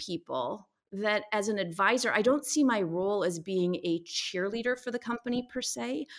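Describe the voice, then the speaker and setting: An unremarkable speaking voice with lively intonation at a moderate pace, in a very clean recording with a silent background. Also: woman. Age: 50s. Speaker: pediatrician and author. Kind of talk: casual chat.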